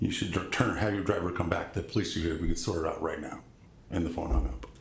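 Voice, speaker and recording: A man speaks with audible room echo around him. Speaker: court witness. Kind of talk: courtroom testimony. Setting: courtroom. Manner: excited, talks over questioner.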